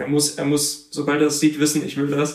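With a fairly high pitch, a man talks at a moderate pace in a room with audible echo. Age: 20s. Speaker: photographer. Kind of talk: interview.

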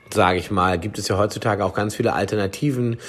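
A man speaks at a moderate pace with ordinary pitch variation in an ordinary speaking voice. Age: 40s. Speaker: chef and food product developer. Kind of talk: casual chat.

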